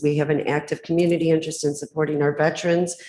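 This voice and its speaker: Fairly quick speech from a woman with a very deep, low pitch, an American accent and monotone, flat intonation. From Michigan, Macomb County. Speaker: public commenter. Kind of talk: public testimony. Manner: fast.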